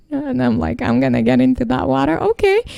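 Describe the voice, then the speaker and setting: With a non-native accent, a woman speaks in a dark, mellow tone. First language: not English. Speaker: podcast co-host. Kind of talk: casual chat.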